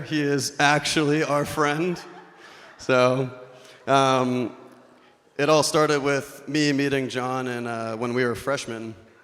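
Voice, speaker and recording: A man's fairly high voice at a fairly slow pace, with fairly even intonation. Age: 20s. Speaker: wedding speech giver, best man. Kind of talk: wedding toast. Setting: wedding reception with audience. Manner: monotone; humorous, casual.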